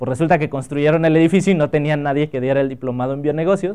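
In a quiet background, a man talks at a very fast pace. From Mexico, Acapulco (Guerrero); Guerrero, Mexico. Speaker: biotechnologist and entrepreneur giving a talk; guest. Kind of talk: workshop talk to students; lecture. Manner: casual, conversational with filler words. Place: hall.

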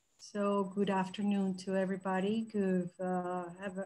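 At a fairly slow pace, a woman speaks in a monotone with flat intonation and a dark, mellow tone. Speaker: presenter. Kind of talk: presentation talk. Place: home room. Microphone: webcam.

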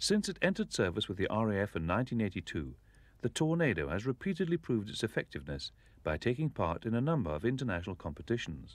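In a very clean recording with a silent background, a man rushes along at a very fast pace, his fairly low pitch swinging very widely and catching in vocal fry. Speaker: documentary narrator. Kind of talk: 1980s-style scripted documentary narration. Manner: formal, measured, authoritative; steady, even pace.

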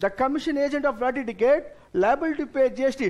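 A man speaks with an Indian accent. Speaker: tax exam lecturer. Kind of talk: lecture. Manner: instructive, addresses students directly. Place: studio.

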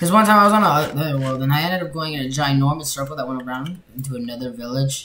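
Light background noise sits under speech at a very fast pace. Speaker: gamer commentating. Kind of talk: casual gameplay commentary.

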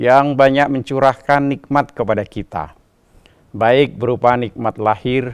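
This man talks very slowly. Everything behind him is quiet. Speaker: religious preacher. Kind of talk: sermon. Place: studio. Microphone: lapel.

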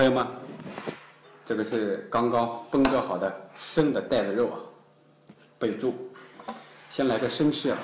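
Over light background noise and audible room echo, a man talks at a very slow pace with ordinary pitch variation and big swings in loudness. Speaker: food vlogger. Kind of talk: casual eating vlog chat. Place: home room. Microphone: phone near.

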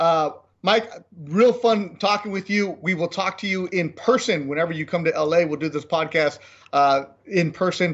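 The speaker is a man with a high-pitched voice for a man. The background is quiet. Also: ordinary pitch variation. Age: 40s. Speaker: sports podcast host. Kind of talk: casual chat. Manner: fast. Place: home room. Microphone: earbuds.

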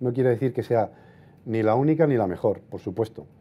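A man's voice with ordinary pitch variation. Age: 50s. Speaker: portrait photographer. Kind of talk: lecture. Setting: stage with audience. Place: hall.

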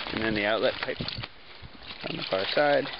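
A man's voice sounds dry with no echo over loud background noise. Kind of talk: casual explanatory walkthrough. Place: forest. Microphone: phone near.

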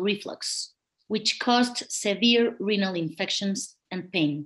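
A woman with a Spanish accent, medium in pitch, fairly slow, with ordinary pitch variation over a quiet background. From Mexico. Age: 40s. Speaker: kidney patient advocate, lawyer. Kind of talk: testimony. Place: home room. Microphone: webcam.

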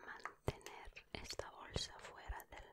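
A soft-spoken whisper moves at a fairly slow pace. Loud background noise fills the recording. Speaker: ASMR creator. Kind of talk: soft-spoken ASMR chat and reading. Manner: soft ASMR whisper reading a label.

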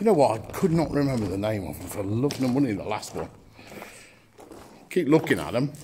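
A man talks at a fairly quick pace. Light background noise sits under his voice. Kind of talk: casual vlog commentary. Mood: enthusiastic, admiring. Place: tunnel cave. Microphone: phone near.

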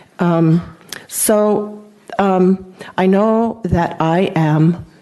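A woman speaks at a medium pitch and a very slow pace, with fairly even intonation. Noticeable background noise runs underneath. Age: 70s. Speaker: retired nurse, public commenter. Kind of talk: public comment testimony. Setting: council meeting.

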